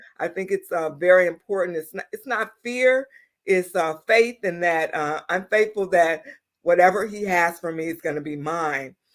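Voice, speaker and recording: In a very clean recording with a silent background, a woman with an American accent and a normal speaking voice talks at a moderate pace in a fairly low pitch, with ordinary pitch variation and big swings in loudness. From US Midwest, Michigan. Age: 60s. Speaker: doctor. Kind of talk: interview.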